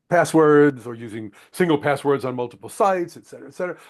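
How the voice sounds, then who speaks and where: The man's intonation is lively, and the background is quiet. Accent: American. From United States. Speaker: webinar moderator, organizational psychologist. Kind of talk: webinar moderation. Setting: online webinar.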